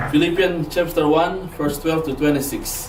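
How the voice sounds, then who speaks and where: A man with a non-native accent, plus noticeable background noise and audible room echo. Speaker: lay preacher, Bible student. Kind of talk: sermon. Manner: halting, with frequent repetitions.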